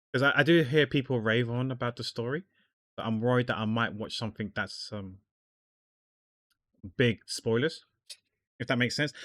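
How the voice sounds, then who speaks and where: In a very clean recording with a silent background and a dry, close sound with no echo, a man speaks at a moderate pace in a medium pitch with ordinary pitch variation and long, frequent pauses. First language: not English. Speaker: artist streamer. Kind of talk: casual chat while drawing livestream. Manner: halting, repeats words.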